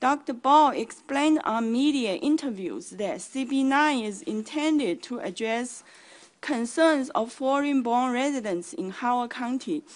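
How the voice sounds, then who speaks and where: With a Chinese accent, a woman talks at a fairly slow pace in a high pitch with lively intonation against a quiet background. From China. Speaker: community advocate. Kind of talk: public hearing testimony. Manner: formal.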